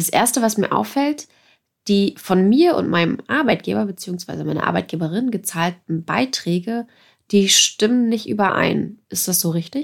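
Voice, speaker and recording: Lively intonation marks this woman's normal speaking voice. She talks at a fairly slow pace in a very clean recording with a silent background. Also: medium pitch for a woman. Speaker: podcast host. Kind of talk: podcast conversation.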